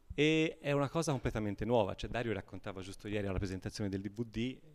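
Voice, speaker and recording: The speaker is a man with a fairly low pitch. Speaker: marching band musician. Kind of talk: casual radio interview. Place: hall. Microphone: handheld.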